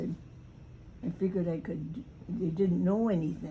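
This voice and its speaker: With audible room echo around her, a woman speaks at a fairly slow pace. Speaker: grandmother recalling family history. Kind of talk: casual chat. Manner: halting.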